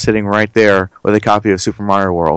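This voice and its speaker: An unremarkable speaking voice from a man with an American accent, fairly low in pitch, at a fairly quick pace. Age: 30s. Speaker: gaming YouTuber. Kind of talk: casual chat.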